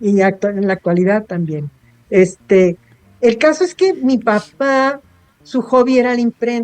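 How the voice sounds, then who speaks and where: The pitch swings very widely as a woman speaks at a fairly high pitch. Her pace is fairly slow, and the sound is dry and close with no echo. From Baja California, Mexico (Tijuana). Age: 70s. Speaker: writer and editor. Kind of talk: interview.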